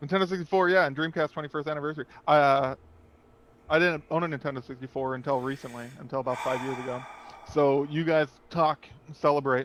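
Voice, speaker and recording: A man talks at a very fast pace with a fairly high pitch. His intonation stays fairly even, broken by long, frequent pauses. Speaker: podcast host. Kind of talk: casual chat. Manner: loud.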